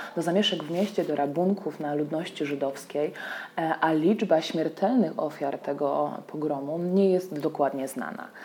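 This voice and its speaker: Amid noticeable background noise, a woman with a very deep, low pitch talks at a moderate pace with ordinary pitch variation. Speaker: tour guide. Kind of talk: scripted narration. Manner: formal.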